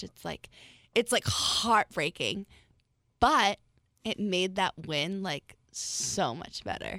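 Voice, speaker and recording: A woman with an American accent, bright and sharp in tone, lively in intonation and with vocal fry, in a dry, close sound with no echo on a very clean recording with a silent background. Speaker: beauty pageant titleholder. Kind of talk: casual chat. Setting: studio.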